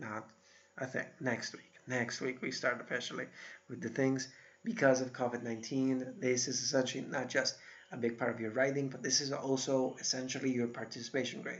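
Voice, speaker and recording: A man with an American accent speaks in a plain, everyday voice at a medium pitch. His pace is moderate and his intonation fairly even. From Iowa, US Midwest. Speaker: university instructor. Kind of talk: recorded lecture. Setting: solo recorded video. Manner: casual, conversational.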